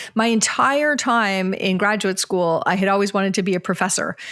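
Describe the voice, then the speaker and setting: A woman speaks with a slight Canadian accent. Her pitch moves in an ordinary way. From Canada, Ontario. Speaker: organizational psychologist and author. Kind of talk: podcast interview.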